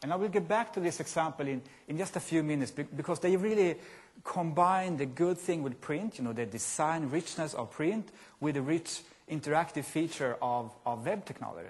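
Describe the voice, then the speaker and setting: Against a quiet background, a man with a Scandinavian accent talks at a fairly quick pace, fairly high in pitch, with lively intonation. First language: Scandinavian language. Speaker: software company presenter. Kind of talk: conference presentation. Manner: halting.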